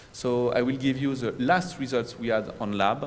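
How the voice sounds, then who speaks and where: A man with a strong French accent talks at a moderate pace and medium pitch. His intonation stays fairly even, and the room echo is audible. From France. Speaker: environmental remediation project manager. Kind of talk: conference presentation. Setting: conference room with audience, recorded. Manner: halting, with self-corrections.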